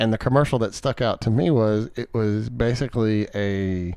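Over a quiet background, a man with a medium pitch and a normal speaking voice talks at a fairly slow pace with ordinary pitch variation. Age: 30s. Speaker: podcast co-host. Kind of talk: casual chat.

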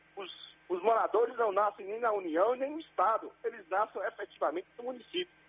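The voice has lively intonation. Its loudness swings widely. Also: man, high pitch for a man, fairly quick pace. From Bahia, Brazil. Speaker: mayor. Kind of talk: radio interview. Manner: halting.

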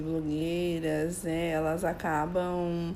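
Audible room echo surrounds a woman's fairly low voice, which has a dark, mellow tone and ordinary pitch variation. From São Paulo, Brazil. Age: 30s. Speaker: image and style consultant. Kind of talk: casual chat.

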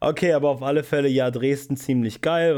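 Pitch variation here is ordinary. The pace is moderate. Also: man. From eastern Germany, Spreewald (Brandenburg). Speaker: podcast host. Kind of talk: casual chat. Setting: in a room together. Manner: animated.

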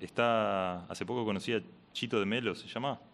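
A man's voice with ordinary pitch variation, moderately paced, in a very clean recording over a silent background. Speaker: radio host. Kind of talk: interview.

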